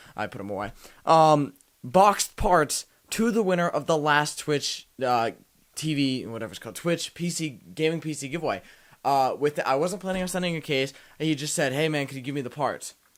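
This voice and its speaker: This man talks at a fairly quick pace with lively intonation and a fairly high pitch. The recording is very clean, with a silent background. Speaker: tech youtuber. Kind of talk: casual vlog. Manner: loud.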